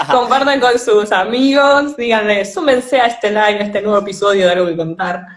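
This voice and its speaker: Talking at a fairly quick clip with hardly any pauses, a woman with an Argentine accent uses a fairly high pitch over noticeable background noise. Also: ordinary pitch variation. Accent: Argentine Spanish (voseo). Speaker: podcast host. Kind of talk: live-streamed interview. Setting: online live stream.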